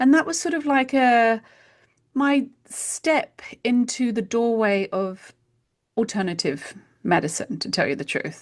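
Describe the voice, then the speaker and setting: With a British accent, a woman speaks at a fairly slow pace with long, frequent pauses, a fairly high pitch and very wide pitch swings. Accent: British accent, kept after years in US. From UK. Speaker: homeopath. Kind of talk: interview conversation.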